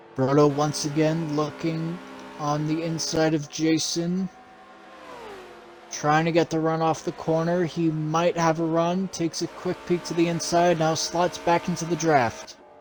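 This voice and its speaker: A man at fairly high pitch, fairly slow and in a monotone, flat intonation, over noticeable background noise. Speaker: sim racing play-by-play commentator. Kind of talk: live commentary.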